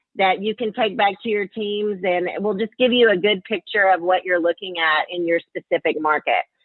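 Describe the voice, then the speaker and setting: A woman of medium pitch talks with a Southern US accent. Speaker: marketing executive, webinar presenter. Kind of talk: webinar presentation. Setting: webinar call.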